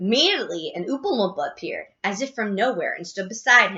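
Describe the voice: A plain reading aloud moves along with lively intonation.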